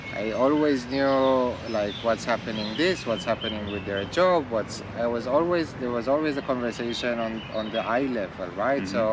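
Against noticeable background noise, a man speaks at a moderate pace and medium pitch with ordinary pitch variation and hardly any pauses. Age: 40s. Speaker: tech company co-founder. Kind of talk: casual chat.

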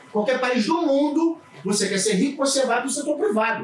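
Against noticeable background noise, a man talks at a moderate pace with lively intonation. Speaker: criminal law attorney and law professor. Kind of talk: casual chat. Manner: halting, many repeated words.

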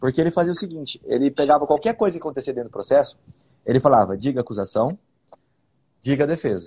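A man with a fairly high yet dark, mellow voice talks at a very fast pace, with vocal fry. His intonation is lively, and he leaves long, frequent pauses. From Bauru, interior of São Paulo state, Brazil. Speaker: public defender and podcast host. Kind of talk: casual legal discussion podcast.

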